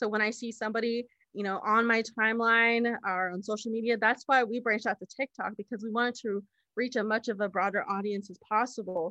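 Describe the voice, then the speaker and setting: With an American accent, a woman speaks at a fairly quick pace in a fairly high, bright, sharp voice with monotone, flat intonation, recorded dry and close with no echo against a quiet background. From Navajo Nation, US Southwest. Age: 20s. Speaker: political candidate and public health professional. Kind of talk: interview.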